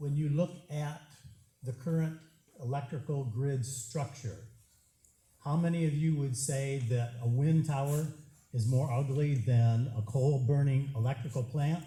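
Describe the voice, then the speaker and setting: With long, frequent pauses, a man speaks at a fairly slow pace in a dark, mellow, somewhat breathy voice of fairly high pitch and fairly even intonation. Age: 70s. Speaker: resident speaking at public hearing. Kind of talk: public comment at hearing. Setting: township public hearing.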